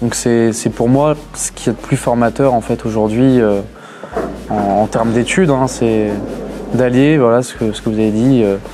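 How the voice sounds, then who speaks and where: A man's fairly even intonation and fairly slow pace come through with music in the background. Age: 20s. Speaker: graduate apprentice. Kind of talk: interview testimony. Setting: graduation ceremony. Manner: hesitant, many fillers and repetitions.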